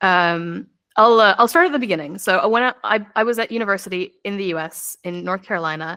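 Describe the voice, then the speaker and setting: Talking very fast with a bright, sharp tone and lively intonation, a woman with an American accent speaks at a medium pitch in a very clean recording with a silent background. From United States. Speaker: lawyer. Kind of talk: podcast interview.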